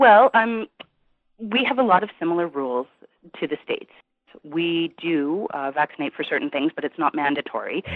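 A fairly low-pitched woman with an American accent, a moderate pace, very wide pitch swings and long, frequent pauses. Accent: sounds Californian to host. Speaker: caller, mother of two. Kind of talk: phone-in call on radio show.

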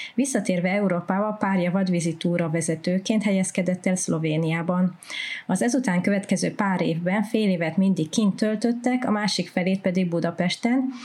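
A woman speaks at a medium pitch, somewhat breathy. Her loudness stays very even and her pitch varies in an ordinary way. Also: moderate pace. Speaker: podcast co-host. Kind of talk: scripted narration.

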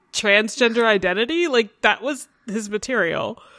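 A bright, sharp tone with lively intonation at a fairly slow pace. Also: woman. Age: 20s. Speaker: podcast host. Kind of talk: casual chat.

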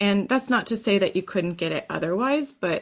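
The voice has vocal fry and moves at a moderate pace, with a quiet background. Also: woman. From Texas. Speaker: oboe professor. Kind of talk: interview.

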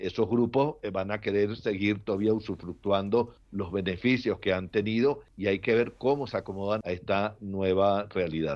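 Delivered in a plain, everyday voice, the speech moves at a moderate pace with fairly even intonation and hardly any pauses. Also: man, fairly low pitch for a man. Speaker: political analyst. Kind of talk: panel discussion.

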